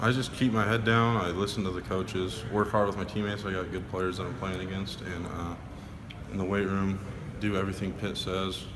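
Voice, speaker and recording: Fairly quickly and in a monotone, flat intonation, a man talks at a fairly low pitch amid noticeable background noise and audible room echo. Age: young. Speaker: college football player. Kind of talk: media interview. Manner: quiet.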